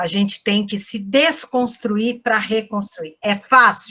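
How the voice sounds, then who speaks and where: An unremarkable speaking voice from a woman, medium in pitch, at a fairly slow pace. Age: 60s. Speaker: psychologist and lecturer. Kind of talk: online lecture Q&A. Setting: online event.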